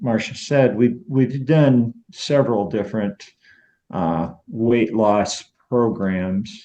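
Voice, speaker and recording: Speaking at a very slow pace, a man has a medium pitch, ordinary pitch variation and a dark, mellow tone. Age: 60s. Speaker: weight loss program member. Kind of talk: interview. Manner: halting, many fillers.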